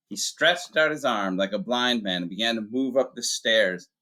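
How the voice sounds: The clip features a natural reading voice with lively intonation.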